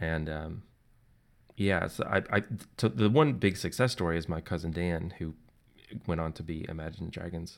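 On a very clean recording with a silent background, a man with an American accent speaks in a very deep, low voice at a moderate pace, using ordinary pitch variation and long, frequent pauses. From US South, Tennessee (near Nashville). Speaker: documentary film editor. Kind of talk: interview.

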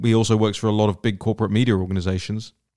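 A man with a British accent, talking at a very fast pace. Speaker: podcast host. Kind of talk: solo political commentary. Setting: home studio with mixer board and microphone. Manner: animated.

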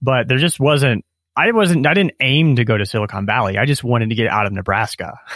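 A man with an American accent and an unremarkable speaking voice talks at a fairly quick pace at a medium pitch, with lively intonation and very even loudness. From US Midwest. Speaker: author and self-publishing coach. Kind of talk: casual interview conversation. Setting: remote call.

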